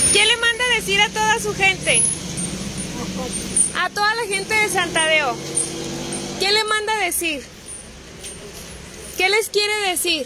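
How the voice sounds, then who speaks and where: A woman talks at a fairly slow pace with long, frequent pauses, her dry sound carrying no echo against noticeable background noise. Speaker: community program host. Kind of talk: casual talk to camera, community interview host. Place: street. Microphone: phone near.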